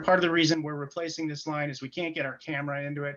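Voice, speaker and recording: A man with a fairly high pitch. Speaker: city project manager. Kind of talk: virtual pre-bid meeting presentation. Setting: video call from home. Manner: hesitant, many fillers.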